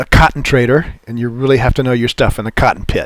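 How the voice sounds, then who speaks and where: At a fairly quick pace, a man talks in an ordinary speaking voice, medium in pitch with fairly even intonation. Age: 60s. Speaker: futures trading educator. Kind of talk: webinar presentation. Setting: online webinar. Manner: casual with frequent fillers.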